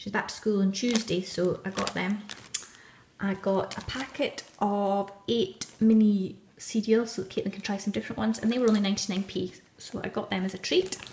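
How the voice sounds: A woman speaks at a moderate pace with a medium pitch and fairly even intonation. Her tone is slightly mellow, and audible room echo surrounds her.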